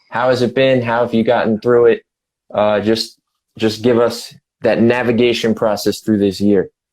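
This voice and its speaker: In a New York accent, a man talks at a moderate pace and medium pitch, with monotone, flat intonation and very even loudness. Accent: New York-like. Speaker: music website editor and show host. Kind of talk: casual interview.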